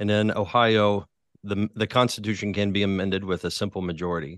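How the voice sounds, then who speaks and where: Heard against a quiet background with dry, close sound and no echo, a man with an American accent uses a normal speaking voice, fairly low in pitch, at a moderate pace with fairly even intonation. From West Virginia, Huntington. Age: 40s. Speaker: pastor and author. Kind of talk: interview.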